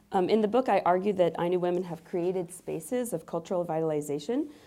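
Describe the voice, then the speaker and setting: In a very clean recording with a silent background, a woman talks at a fairly quick pace, her fairly low pitch carrying a dark, mellow tone and ordinary pitch variation. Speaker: university professor. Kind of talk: academic lecture. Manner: halting, many fillers.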